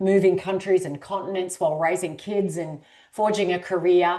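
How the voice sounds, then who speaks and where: With an Australian accent, a woman speaks at a moderate pace in a fairly low pitch with ordinary pitch variation. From rural Australia. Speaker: author and executive coach. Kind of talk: podcast interview.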